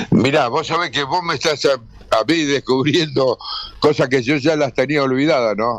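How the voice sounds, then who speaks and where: A man with a Rioplatense accent at a moderate pace, noticeable background noise behind him. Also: fairly high pitch for a man, fairly even intonation. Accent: Argentine Rioplatense Spanish. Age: 80s+. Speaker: retired sports commentator. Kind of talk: radio interview. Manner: halting.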